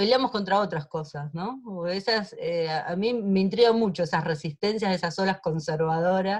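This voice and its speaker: A woman talks in a normal speaking voice at a medium pitch. Her pace is moderate and her intonation lively. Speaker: lawyer in human rights trials. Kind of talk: online seminar talk.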